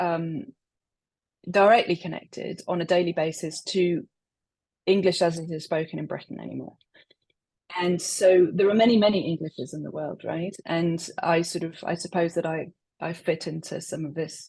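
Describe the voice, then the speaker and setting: A woman speaks at a moderate pace with a fairly low, dark and mellow voice. Her loudness swings widely, and she leaves long, frequent pauses. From England, West Midlands. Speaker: poet. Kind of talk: interview.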